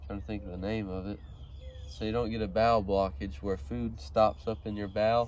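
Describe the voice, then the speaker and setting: With lively intonation, a man talks in a plain, everyday voice at a fairly low pitch. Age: young. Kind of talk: casual personal story to camera.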